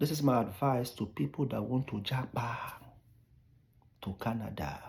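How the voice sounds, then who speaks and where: A man speaks with lively intonation. His voice has vocal fry. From Nigeria. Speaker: immigration advice vlogger. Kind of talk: casual vlog advice monologue.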